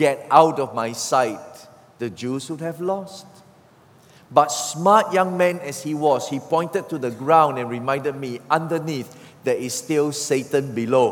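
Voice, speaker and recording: With ordinary pitch variation and a fairly high pitch, a man speaks fairly slowly as noticeable noise sounds behind him. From Singapore. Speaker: pastor. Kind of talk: sermon. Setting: church.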